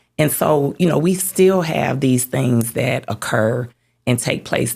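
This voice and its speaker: A woman's voice with ordinary pitch variation and a Southern US accent. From Mississippi. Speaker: community leader. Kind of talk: interview conversation.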